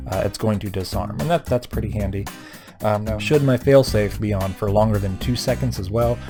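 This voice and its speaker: Music plays behind a man who mumbles in a fairly low voice. He goes at a fairly quick pace. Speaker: RC hobbyist. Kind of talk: screen-recorded tutorial narration. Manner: mumbling, hesitant with many fillers; casual.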